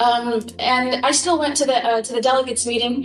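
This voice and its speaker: Over noticeable background noise, a woman speaks in a high pitch with monotone, flat intonation. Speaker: lecturer. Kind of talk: lecture. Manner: fast.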